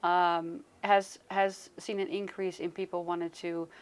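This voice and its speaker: A woman's medium-pitched voice with fairly even intonation, on a very clean recording against a silent background. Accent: Dutch. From Netherlands. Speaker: Reiki practitioner and health coach. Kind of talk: interview. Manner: hesitant, many fillers.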